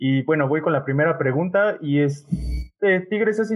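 This man has a normal speaking voice with ordinary pitch variation. He talks at a fairly slow pace. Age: 20s. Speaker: podcast host. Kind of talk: casual chat.

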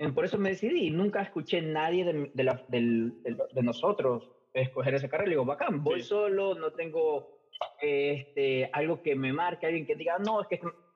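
Over noticeable background noise, a man talks at a moderate pace in a fairly high pitch, with ordinary pitch variation and very even loudness. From Ecuador. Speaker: English teacher. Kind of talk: interview.

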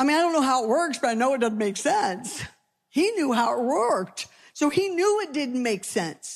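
A woman speaks at a high pitch and a moderate pace. Her pitch swings very widely. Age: 60s. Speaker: pastor. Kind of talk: sermon.

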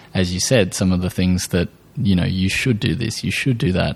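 A man speaks with an Australian accent. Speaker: podcast host. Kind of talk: casual interview chat.

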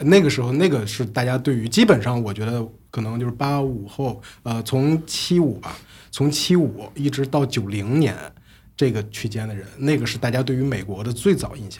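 At a moderate pace, a man speaks in a somewhat breathy voice at a medium pitch with ordinary pitch variation. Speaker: podcast host. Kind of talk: casual chat. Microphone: new recording equipment.

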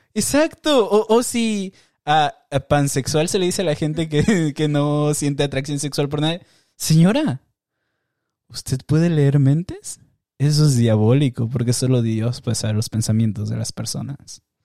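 Lively intonation runs through this dark, mellow tone, delivered at a fairly slow pace. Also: man, fairly high pitch for a man, dry, close sound with no echo. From Mexico, Tijuana border. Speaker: podcast host. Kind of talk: casual monologue with video reactions.

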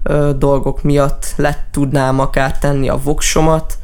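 Amid audible room echo, a man with a fairly high pitch speaks at a very slow pace. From Hungary, Debrecen area. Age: young. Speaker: musician. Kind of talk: radio interview.

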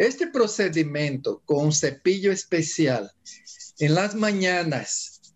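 With a Portuguese accent, a man speaks at a very slow pace. His pitch is high for a man, with ordinary pitch variation. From Brazil. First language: Portuguese (speaking Spanish). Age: 70s. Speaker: Ayurveda doctor. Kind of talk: interview.

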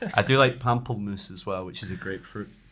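Very fast speech in a Scottish accent. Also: man. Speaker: podcast co-host. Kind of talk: casual chat.

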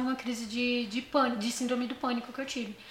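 Over noticeable background noise, a woman speaks very fast at a high pitch in a monotone, flat intonation. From São Paulo, Morro Doce. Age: 20s. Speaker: podcast guest. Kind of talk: casual chat, personal testimony.

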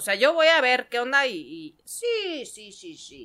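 Her voice raised and projected, a woman speaks with a bright, sharp tone and lively intonation. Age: 40s. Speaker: stand-up comedian. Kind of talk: casual chat. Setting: studio.

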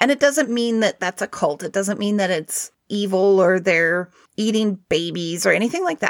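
A woman talks at a moderate pace in an ordinary speaking voice, her pitch medium with ordinary variation. She hardly pauses, and the sound is dry and close with no echo. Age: 40s. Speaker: podcast co-host, practicing witch. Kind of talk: casual chat.

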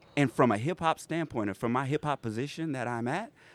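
A man with an American accent talks at a fairly quick pace in an ordinary speaking voice, medium in pitch with ordinary pitch variation, on a very clean recording with a silent background and a dry, close sound with no echo. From South Carolina Lowcountry (Pineville, Berkeley County). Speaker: hip hop artist. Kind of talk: casual interview on community radio. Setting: radio studio, broadcasting live from a food court venue.

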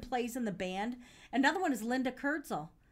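On a very clean recording with a silent background, a woman with high pitch talks at a very fast pace with lively intonation. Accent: American. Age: 50s. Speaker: podcast host and caterer. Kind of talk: casual chat. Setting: studio.

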